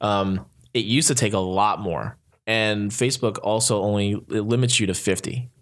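A man with an American accent has an unremarkable speaking voice of fairly low pitch with ordinary pitch variation. He speaks at a moderate pace on a very clean recording with a silent background. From US Northeast. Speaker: social media consultant. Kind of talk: casual chat. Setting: studio.

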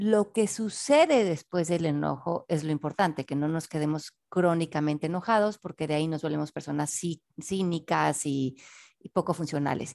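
A woman speaks at a moderate pace with a very deep, low pitch and ordinary pitch variation. The recording is very clean and dry, with a silent background and no echo. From Mexico City. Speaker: author and personal development teacher. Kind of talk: interview.

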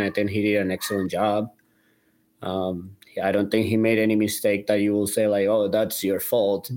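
A man with a Spanish accent talks at a fairly low pitch and a moderate pace, with monotone, flat intonation, on a very clean recording with a silent background. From Colombia. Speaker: soccer fan and player agent. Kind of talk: casual sports podcast chat. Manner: halting.

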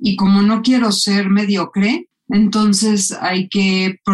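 The speaker is a woman with a medium pitched voice. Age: 50s. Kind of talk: interview.

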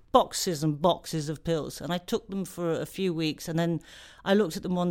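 A woman speaks with an English accent at a fairly low pitch. The recording is very clean, with a silent background. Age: 40s. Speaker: comedian. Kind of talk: interview. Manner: halting.

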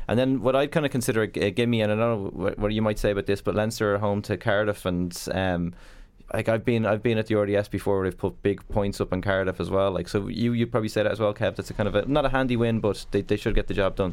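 The speech races at a very fast pace with hardly any pauses. Loudness is very even, and intonation stays fairly even. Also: man, fairly low pitch for a man. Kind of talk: casual chat.

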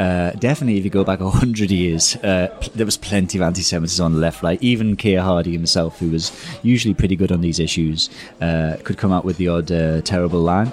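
Very deep, low male speech with ordinary pitch variation, delivered at a very fast pace. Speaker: author and political writer. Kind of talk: casual interview chat. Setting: restaurant.

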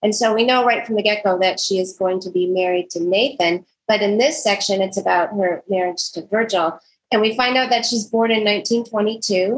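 Here a woman uses an unremarkable speaking voice at medium pitch with ordinary pitch variation. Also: moderate pace. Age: 60s. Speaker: podcast co-host, homeschool mom. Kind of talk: casual book discussion.

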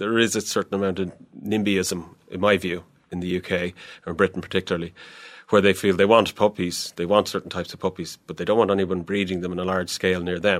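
A man with an Irish accent talks at a very fast pace in a very deep, low, monotone voice. The recording is very clean, with a silent background. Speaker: animal welfare inspector. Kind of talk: interview. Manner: hesitant, repeats words.

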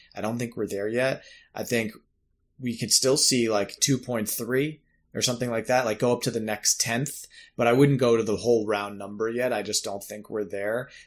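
This is an ordinary speaking voice, a man's, at medium pitch. His intonation is fairly even, and the recording is very clean with a silent background. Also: moderate pace. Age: 30s. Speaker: podcast host. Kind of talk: interview. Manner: casual.

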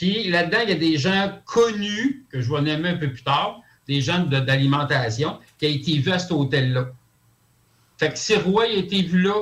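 Speaking at a moderate pace with a Quebec accent, a man uses a high pitch and lively intonation. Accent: Québécois French. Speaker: conspiracy theory commentator. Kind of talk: radio talk show discussion. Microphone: crackly phone line.

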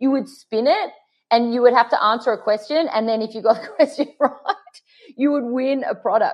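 A woman speaks in a high voice with an Australian accent. Her pace is fairly quick, and her pitch varies in an ordinary way. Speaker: makeup artist and fragrance brand founder. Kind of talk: casual interview.

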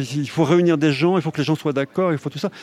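A man's voice comes through dry and close, with no echo, over noticeable background noise. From France, Haute-Savoie. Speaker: film director and novelist. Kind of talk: interview.

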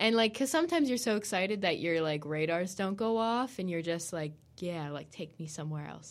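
A woman with an unremarkable speaking voice talks in an American accent at a fairly quick pace. Her pitch is fairly low, with ordinary variation. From United States. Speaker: university student. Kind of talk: casual interview.

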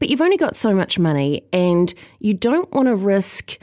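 Set against a silent background in a very clean recording, the voice has a dark, mellow tone, very wide pitch swings and a New Zealand accent. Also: woman. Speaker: podcast host and wine writer. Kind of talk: casual chat. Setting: studio.

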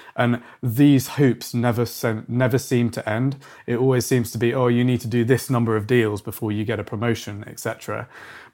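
On a very clean recording with a silent background, a man with a British accent talks at a fairly quick pace and a medium pitch, in a monotone, flat intonation with hardly any pauses. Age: 30s. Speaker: company founder. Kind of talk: casual interview.

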